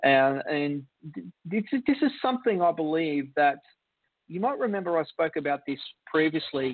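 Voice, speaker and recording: This man has a fairly high pitch and lively intonation. He moves at a moderate pace, broken by long, frequent pauses. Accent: Australian. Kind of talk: casual chat.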